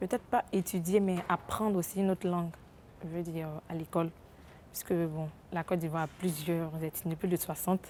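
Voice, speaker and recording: A woman's dark, mellow, fairly low voice at a fairly quick pace, with fairly even intonation and long, frequent pauses. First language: Hebrew (speaking French). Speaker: interviewee in street poll. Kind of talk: vox pop interview.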